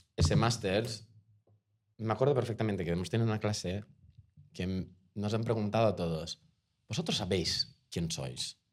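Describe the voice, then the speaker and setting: A man with a fairly low pitch and lively intonation speaks with long, frequent pauses. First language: Portuguese (speaking Spanish). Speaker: actor. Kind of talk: casual interview chat. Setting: bar. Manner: halting, repetitive.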